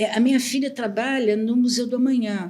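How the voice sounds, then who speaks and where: A woman speaks at a moderate pace in a high voice. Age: 70s. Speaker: astrologer. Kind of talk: casual chat. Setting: studio.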